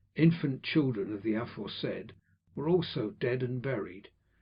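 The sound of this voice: An unforced reading voice is what comes through.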